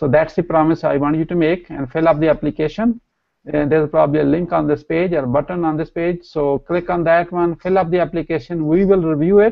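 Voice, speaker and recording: A man with a Pakistani accent speaks at a fairly quick pace, his pitch fairly high and his intonation fairly even. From Pakistan, Punjab village. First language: Punjabi/Urdu. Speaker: entrepreneur and co-trainer. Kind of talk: promotional talk.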